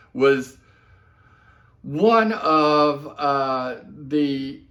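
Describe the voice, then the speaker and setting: This is a man speaking. His pitch is fairly high. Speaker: watch reviewer. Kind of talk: casual video review. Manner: loud. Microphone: camera mic, far away.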